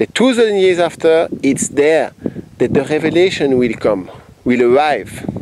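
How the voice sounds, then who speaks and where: A man speaks in a Belgian accent at a fairly high pitch. His pitch swings very widely, with noticeable background noise behind him. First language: French. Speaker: self-described spiritual messenger. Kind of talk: spiritual monologue.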